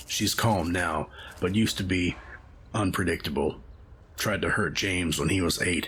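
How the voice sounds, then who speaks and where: A man puts on a raspy character voice with very deep, low pitch, ordinary pitch variation and a moderate pace, over light background noise. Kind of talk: moody second-person narration. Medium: cartoon. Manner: calm, reflective.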